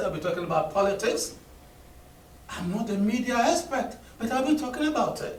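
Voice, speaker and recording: Lively intonation in audible room echo, with noticeable background noise. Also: man. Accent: African. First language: Akan. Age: 60s. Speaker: professor of linguistics. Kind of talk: conference address. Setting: conference hall with audience.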